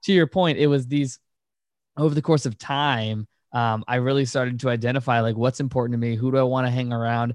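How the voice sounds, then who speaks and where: A man with an American accent uses an ordinary speaking voice at medium pitch, talking at a fairly quick pace with fairly even intonation, the sound dry and close with no echo over a quiet background. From Virginia, US. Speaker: entrepreneur and podcast host. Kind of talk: interview conversation.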